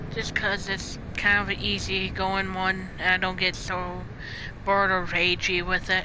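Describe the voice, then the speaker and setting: The delivery is fairly slow and monotone, with flat intonation. Noticeable background noise and audible room echo come through. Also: woman, medium pitch for a woman. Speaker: ASMR gaming streamer.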